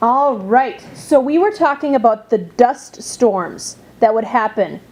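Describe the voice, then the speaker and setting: A woman's high voice at a very slow pace, lively intonation and noticeable background noise behind it. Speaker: teacher. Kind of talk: interviewer questions.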